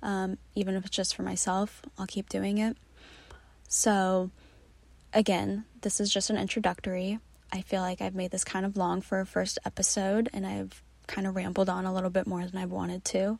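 The recording is very clean and the background silent. Words arrive at a moderate pace. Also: woman. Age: 20s. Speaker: travel blogger and podcast host. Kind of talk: casual solo monologue. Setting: recording in her closet.

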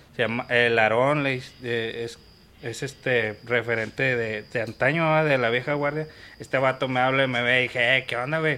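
A man's medium-pitched voice with a bright, sharp tone, fairly even intonation and a moderate pace. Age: 30s. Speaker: football fan, barra member. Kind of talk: casual chat.

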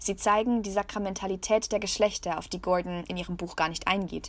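At a very fast pace and with fairly even intonation, the voice carries vocal fry on a very clean recording with a silent background. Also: woman. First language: German. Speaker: podcast host and trainee journalist. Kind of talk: scripted narration.

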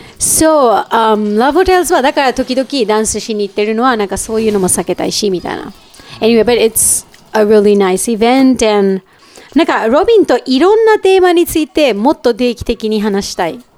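A woman with a Japanese accent talks at a very fast pace. Her pitch is fairly high, her intonation lively. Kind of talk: casual chat.

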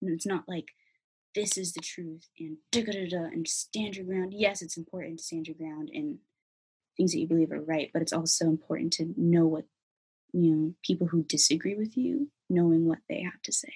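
Somewhat breathy and dark, mellow in tone, a woman with an American accent speaks at a moderate pace with big swings in loudness. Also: fairly low pitch for a woman, ordinary pitch variation. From US Pacific Northwest, Federal Way near Seattle. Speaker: college student. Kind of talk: casual interview. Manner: animated.

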